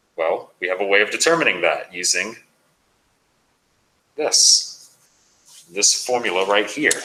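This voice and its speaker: A man speaks. His pace is moderate. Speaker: math instructor. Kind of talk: lecture.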